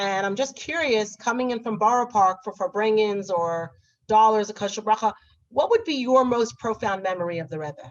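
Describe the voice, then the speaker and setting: In a New York accent, a woman talks at a moderate pace with fairly high pitch and ordinary pitch variation. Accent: American, New York. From New York, Brooklyn (Crown Heights). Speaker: moderator. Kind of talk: interview. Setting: video call.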